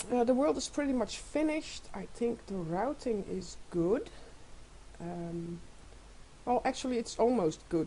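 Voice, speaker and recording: Her tone is dark and mellow. A woman speaks at a fairly high pitch with ordinary pitch variation. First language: not English. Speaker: gamer showing a game world. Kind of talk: casual game walkthrough. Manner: halting, many fillers.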